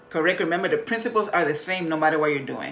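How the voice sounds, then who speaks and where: A woman with a Spanish accent, fairly low pitch and ordinary pitch variation, amid noticeable background noise and audible room echo. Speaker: motivational vlogger. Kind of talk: motivational talk.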